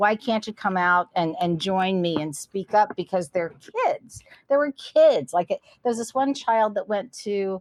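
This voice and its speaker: A woman speaks at a fairly slow pace in a medium pitch, her intonation lively and the sound dry and close with no echo. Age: 60s. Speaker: cannabis entrepreneur. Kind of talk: interview. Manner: animated.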